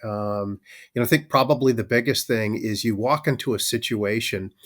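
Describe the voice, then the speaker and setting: In a very clean recording with a silent background, a man with a slight Minnesotan accent talks at a moderate pace. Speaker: manufacturing operations leader, army veteran. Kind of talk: podcast interview. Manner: many filler words, conversational.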